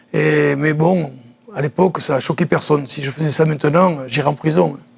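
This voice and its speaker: This man has a normal speaking voice, a moderate pace and ordinary pitch variation. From southern France, Nice. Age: 60s. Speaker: former judoka and judo coach. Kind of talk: TV interview.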